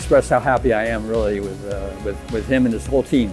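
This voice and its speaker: A man speaks while music plays in the background. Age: 70s. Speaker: competitive weightlifter. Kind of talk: interview answer.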